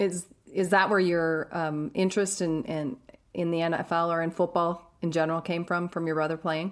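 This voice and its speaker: A woman's normal speaking voice, fairly low in pitch, at a moderate pace with fairly even intonation. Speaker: podcast host.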